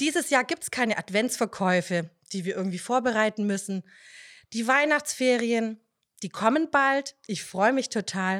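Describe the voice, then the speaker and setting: In a very clean recording with a silent background, a woman speaks at a moderate pace with a fairly high pitch and lively intonation. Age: 30s. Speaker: nursery teacher and church children's leader. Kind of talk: casual devotional talk.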